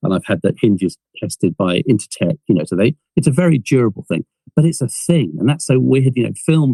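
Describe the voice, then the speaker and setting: Recorded dry and close with no echo, a man with an English accent speaks in a dark, mellow tone at a medium pitch with vocal fry, very wide pitch swings and a fairly quick pace. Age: 60s. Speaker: film producer and inventor. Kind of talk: podcast interview.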